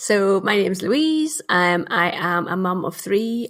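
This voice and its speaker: This is a woman speaking. She has a Northern Irish accent. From Northern Ireland. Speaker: marketing consultant. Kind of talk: casual interview.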